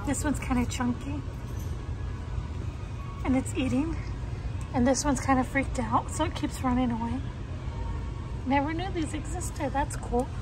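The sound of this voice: Over clear background noise, a woman with a high pitch speaks at a fairly slow pace, leaving long, frequent pauses. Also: ordinary pitch variation.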